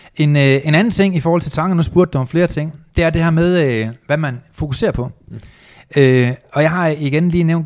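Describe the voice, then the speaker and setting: A man's fairly high voice with ordinary pitch variation, at a moderate pace. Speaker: entrepreneur and motivational speaker. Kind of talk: interview.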